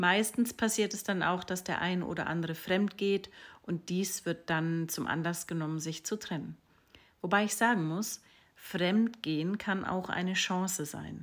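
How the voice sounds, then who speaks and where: A woman at a very slow pace with ordinary pitch variation, over a quiet background. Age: 40s. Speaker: sex and relationship coach; relationship coach. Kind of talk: social media monologue. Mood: calm, thoughtful, expressive. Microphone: phone near.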